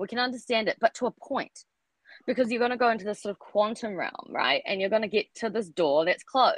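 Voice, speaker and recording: In a New Zealand accent, a woman speaks fairly quickly at a fairly high pitch with ordinary pitch variation, the sound dry and close with no echo. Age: 30s. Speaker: writer and artist. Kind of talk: casual chat. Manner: halting.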